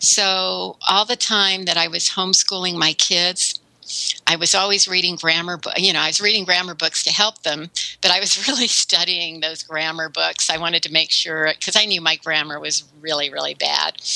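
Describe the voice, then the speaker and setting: Over noticeable background noise, a woman talks at a moderate pace with a fairly low pitch and fairly even intonation. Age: 60s. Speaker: web content writer and consultant. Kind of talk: interview.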